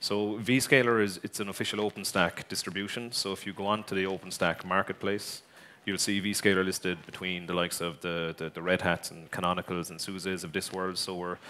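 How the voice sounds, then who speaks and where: Fairly quick and with fairly even intonation, the voice has a bright, sharp tone and an Irish accent. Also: man, very deep, low pitch for a man. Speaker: tech company executive. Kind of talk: conference talk. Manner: hesitant, many fillers.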